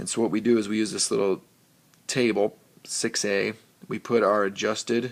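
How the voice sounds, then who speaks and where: In a normal speaking voice, a man talks at a fairly low pitch, a moderate pace and fairly even intonation. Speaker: teacher. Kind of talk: tutorial. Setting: recorded on an iPad.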